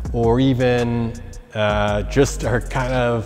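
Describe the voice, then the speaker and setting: A man with ordinary pitch variation, faint music in the background. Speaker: presenter. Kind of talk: product explainer talk. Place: gym. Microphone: lapel.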